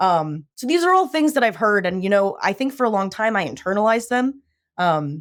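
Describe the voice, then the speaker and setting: Loud and fairly quick, a woman with an American accent speaks at a medium pitch with very wide pitch swings on a very clean recording with a silent background. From US Midwest and Southwest (Illinois, Phoenix). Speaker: shark scientist. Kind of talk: interview conversation. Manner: loud, outgoing.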